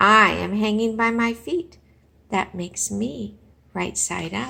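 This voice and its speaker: At a fairly slow pace, a woman does a put-on character voice at medium pitch. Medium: read story. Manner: blunt, confident.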